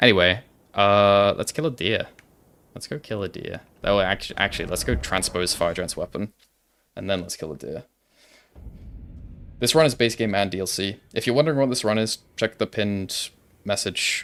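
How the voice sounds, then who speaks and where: Soft-spoken and fairly low-pitched, a man talks at a moderate pace with lively intonation and long, frequent pauses while music plays in the background. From Wales. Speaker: gaming streamer. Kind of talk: live gameplay stream chat. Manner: casual, filler-heavy.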